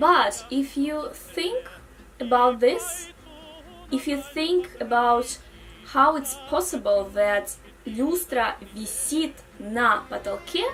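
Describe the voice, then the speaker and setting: Over music in the background, a woman speaks very slowly in a Russian accent. Her high-pitched voice has lively intonation. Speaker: language teacher. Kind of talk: tutorial.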